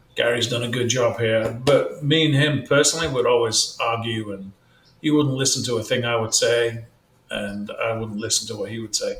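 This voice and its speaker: At a moderate pace, a man talks in a British accent. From England. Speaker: real estate team leader. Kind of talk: podcast interview.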